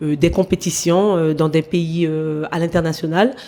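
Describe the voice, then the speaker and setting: A woman speaks with a fairly low pitch and ordinary pitch variation. She has a normal speaking voice. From French Guiana (Matoury, Cayenne). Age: 40s. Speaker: former athlete, sports manager. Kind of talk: interview.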